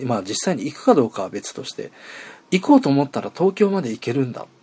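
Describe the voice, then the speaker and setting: With a dark, mellow tone and vocal fry, a man talks at a fairly quick pace, his pitch swinging very widely and his loudness shifting in big swings. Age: 40s. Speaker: internet radio host. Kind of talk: casual solo podcast monologue. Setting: outdoors at a train station.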